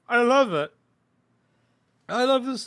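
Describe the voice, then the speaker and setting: A man's raised, projected voice with a British accent and a bright, sharp tone. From Britain. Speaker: YouTuber guest on a livestream. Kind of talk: casual chat. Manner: animated.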